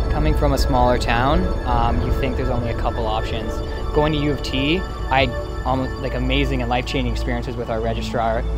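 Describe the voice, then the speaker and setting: Talking at a very fast pace, a man is heard with clear music in the background. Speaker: entrepreneur, university graduate. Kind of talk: interview answer. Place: open country. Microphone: lapel.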